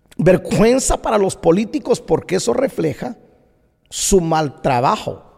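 A man speaks at a very slow pace. His high pitch moves in very wide swings. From Guatemala. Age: 40s. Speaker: pastor. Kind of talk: opinion monologue podcast.

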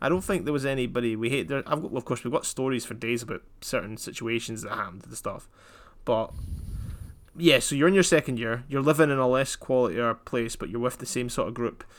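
A man with a Scottish accent, talking at a very fast pace. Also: medium pitch for a man, ordinary pitch variation. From Scotland. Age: 20s. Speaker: podcast co-host. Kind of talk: casual chat.

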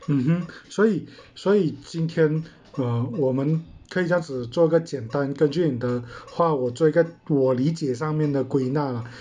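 Dark, mellow tone at a moderate pace, with ordinary pitch variation. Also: man, fairly high pitch for a man. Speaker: podcast host. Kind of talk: casual panel discussion.

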